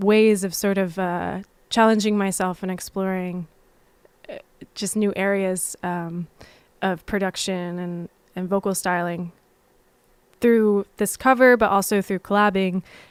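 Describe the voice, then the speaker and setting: A soft-spoken woman talks at a fairly slow pace with fairly even intonation, big swings in loudness and long, frequent pauses, in a very clean recording with a silent background. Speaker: musician. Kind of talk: livestream Q&A chat.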